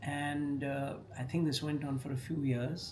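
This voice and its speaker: A man with a fairly high pitch speaks at a fairly slow pace while music plays in the background. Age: 70s. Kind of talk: casual talk to camera.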